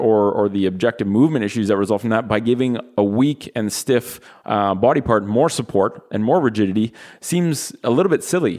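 A normal speaking voice with a Canadian accent moves at a moderate pace with ordinary pitch variation. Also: man. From Canada. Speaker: physical therapist. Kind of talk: casual interview. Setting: studio, sharing one microphone.

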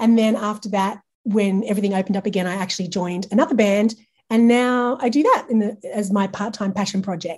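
A woman with an Australian accent speaks at a moderate pace, somewhat breathy, with a dark, mellow tone. Her pitch is fairly high, and the background is quiet. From Australia, regional New South Wales. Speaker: branding and marketing agency owner. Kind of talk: casual interview chat.

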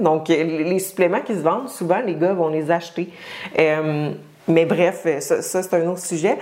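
A woman's fairly low voice in a Quebec accent, fairly slow, over noticeable background noise. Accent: Québécois French. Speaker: fitness coach and podcast host. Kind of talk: solo podcast monologue. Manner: casual, many filler hesitations.

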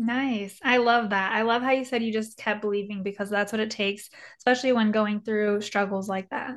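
A woman with a fairly high pitch talks at a fairly quick pace in a flat, monotone intonation against a quiet background. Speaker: podcast host. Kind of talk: interview.

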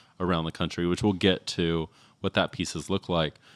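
In a very deep, low pitch and fairly even intonation, a man with an American accent speaks in a dry, close sound with no echo on a very clean recording with a silent background. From Texas. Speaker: podcast host. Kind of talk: interview. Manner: casual with frequent fillers and laughs.

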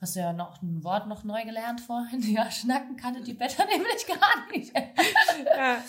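Her high voice makes very wide pitch swings and big swings in loudness. The woman moves at a fairly slow pace with hardly any pauses. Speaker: podcast host. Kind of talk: casual interview chat. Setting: café back room.

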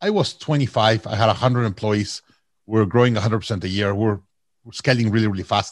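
Against a quiet background, a man with a Mexican accent talks very fast in a fairly low pitch with fairly even intonation. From Mexico. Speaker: company CEO and author. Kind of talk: casual interview.

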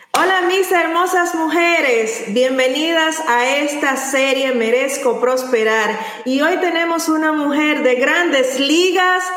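A woman with a high pitch talks very slowly with ordinary pitch variation, with audible room echo and noticeable background noise. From Latin America. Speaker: podcast host. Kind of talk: interview. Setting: live stream.

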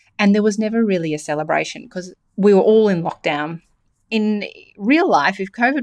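Lively intonation in an Australian accent at a moderate pace, over a very clean recording with a silent background. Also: woman. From Australia, New South Wales. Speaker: podcast host and e-commerce mentor. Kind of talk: solo podcast talk.

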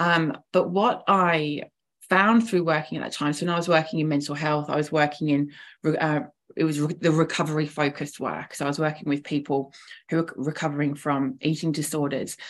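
With an English accent and fairly even intonation, a woman's very deep, low voice comes through a very clean recording with a silent background. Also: fairly quick pace. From England. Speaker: founder of women's network. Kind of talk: casual interview.

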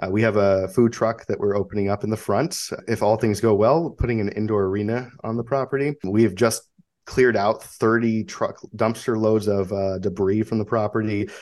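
With a normal speaking voice, a man talks at a moderate pace, fairly low in pitch and fairly even in intonation. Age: 30s. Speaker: military veteran and horse business owner. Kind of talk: interview.

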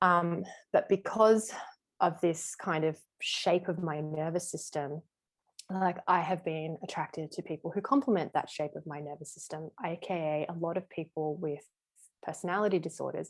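A woman with an ordinary speaking voice and a fairly low pitch talks at a moderate pace with ordinary pitch variation. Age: 30s. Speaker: somatic body work and tantra teacher. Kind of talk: casual interview chat.

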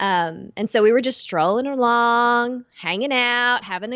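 A woman with an East Texas accent speaks with ordinary pitch variation. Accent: East Texas, noticeable. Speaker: podcast co-host.

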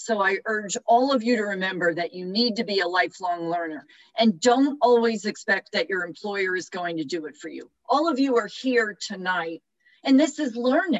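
This woman has a normal speaking voice at medium pitch, with lively intonation, a moderate pace and big swings in loudness. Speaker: professor and HR expert. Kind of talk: panel discussion advice. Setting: video call.

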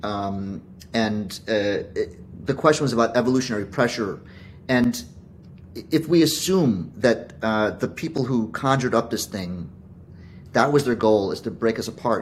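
Speaking at a fairly slow pace, a man keeps to a medium pitch. His intonation is lively. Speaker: physician. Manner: earnest, increasingly strident.

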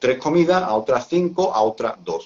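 A man with lively intonation. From Seville, southern Spain. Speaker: athlete and Crohn's patient. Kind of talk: live-stream interview.

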